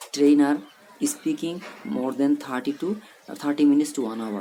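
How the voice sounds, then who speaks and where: The speaker has a South Asian accent. Noticeable background noise is present. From Bangladesh. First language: Bengali. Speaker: English teacher. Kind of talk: motivational talk. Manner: halting.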